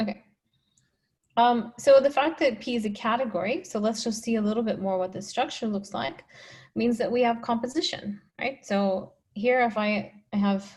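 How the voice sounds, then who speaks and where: A woman speaks at a moderate pace in a fairly high, somewhat breathy voice with ordinary pitch variation. The recording is very clean, with a silent background. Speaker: mathematician. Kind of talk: lecture.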